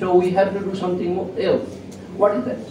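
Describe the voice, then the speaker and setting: A man speaks at a high pitch, with noticeable background noise and audible echo in the room. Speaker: professor. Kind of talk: lecture. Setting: lecture hall with students. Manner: halting.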